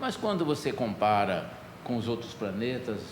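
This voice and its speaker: A man's pitch swings very widely while audible room echo lingers around him. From Brazil, rural interior. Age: 70s. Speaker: pastor. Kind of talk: sermon. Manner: conversational, storytelling.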